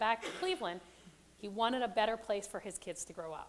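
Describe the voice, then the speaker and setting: A woman speaks with a fairly high pitch. Her intonation is lively. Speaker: conference presenter. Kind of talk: presentation to audience. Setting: stage with audience, microphone. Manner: loud, projecting.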